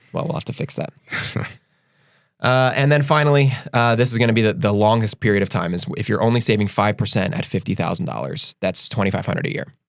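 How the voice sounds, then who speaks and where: Talking at a very fast pace with lively intonation, a man speaks at medium pitch in an American accent. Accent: Delco accent, usually reined in. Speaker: financial advisor podcast host. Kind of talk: casual chat. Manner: stammering with repeated words.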